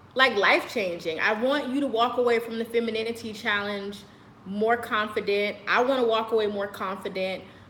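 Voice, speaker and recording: A woman with a fairly high pitch and fairly even intonation is heard with audible room echo and noticeable background noise. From United States. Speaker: lifestyle vlogger. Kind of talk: casual monologue to camera. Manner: loud.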